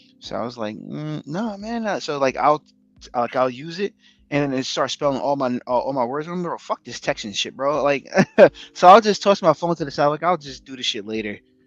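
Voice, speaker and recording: A man's animated, fairly high-pitched voice with a slight New York accent, lively intonation, a fairly quick pace and big swings in loudness, dry and close with no echo over a quiet background. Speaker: podcast co-host. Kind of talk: casual chat.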